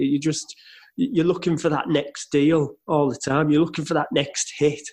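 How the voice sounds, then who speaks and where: An unremarkable speaking voice from a man at a fairly high pitch and a fairly slow pace. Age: 40s. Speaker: podcast host and car dealer. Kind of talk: casual interview chat.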